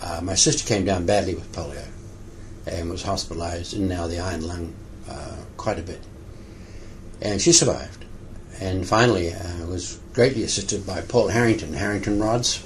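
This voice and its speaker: This man has a very deep, low voice, with big swings in loudness and long, frequent pauses. Audible room echo and noticeable background noise run through the clip. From New Zealand. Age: 60s. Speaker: physiotherapist. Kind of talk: interview. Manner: halting.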